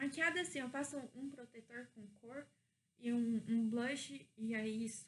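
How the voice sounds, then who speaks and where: The woman's pitch sits fairly high and varies in an ordinary way. She talks very slowly. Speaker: vlogger. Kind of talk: casual vlog monologue. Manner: casual, self-correcting.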